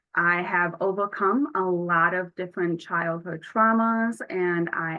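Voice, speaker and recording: A woman's fairly low voice with a Buffalo accent, ordinary pitch variation and a fairly slow pace. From Buffalo, New York. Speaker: youth peer advocate trainer. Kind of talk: training workshop.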